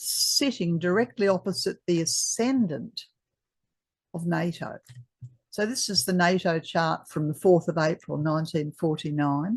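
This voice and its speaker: Over a quiet background, a woman speaks with an Australian accent. Her voice is somewhat breathy and her pace fairly slow. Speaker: astrologer. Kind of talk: presentation. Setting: video call. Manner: halting.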